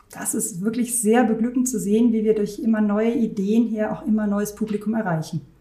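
Fairly quick, fairly high-pitched speech from a woman with hardly any pauses, fairly even intonation and noticeable background noise. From Germany, Rhineland near Düsseldorf. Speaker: concert hall director. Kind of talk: interview.

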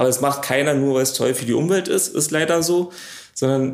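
Here a man talks in a plain, everyday voice at a medium pitch. His pace is fairly quick and his pitch variation ordinary. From Potsdam area, Brandenburg. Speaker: pharmaceutical production manager. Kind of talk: interview. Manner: casual.

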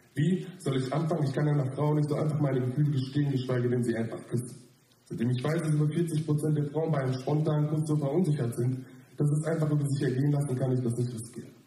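A man speaks at a fairly high pitch. His pace is very fast. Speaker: slam poet. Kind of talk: poetry slam performance, a spoken-word text. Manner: animated, self-mocking, wry and ironic delivery.

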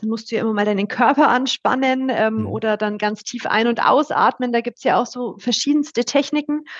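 A woman speaks quickly with hardly any pauses, her high voice keeping a fairly even intonation. Noticeable background noise runs under the recording. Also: dry, close sound with no echo. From Upper Franconia, Bayreuth. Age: 30s. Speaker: partner management head at a broker network. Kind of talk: casual interview. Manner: trained clear speech.

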